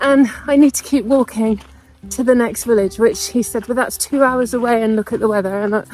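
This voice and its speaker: A fairly high-pitched woman's voice, fairly quick and fairly even in intonation, over noticeable background noise. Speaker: travel vlogger. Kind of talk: travel vlog narration. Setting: inside a church.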